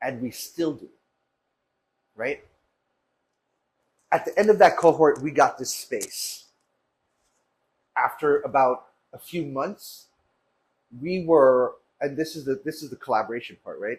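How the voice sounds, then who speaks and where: Pausing long and often, a somewhat breathy man speaks at a fairly slow pace with ordinary pitch variation and big swings in loudness. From Jamaica. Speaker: food business founder. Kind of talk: interview storytelling. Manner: animated.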